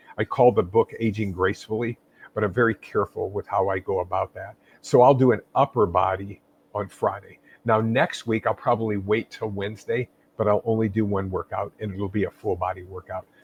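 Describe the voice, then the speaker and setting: A man speaks at a fairly quick pace and a fairly low pitch. His voice is somewhat breathy, with fairly even intonation. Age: 60s. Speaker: fitness expert and author. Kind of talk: interview.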